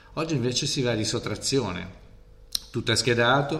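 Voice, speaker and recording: A man's bright, sharp voice at a medium pitch carries audible room echo. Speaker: teacher. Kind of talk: casual interview.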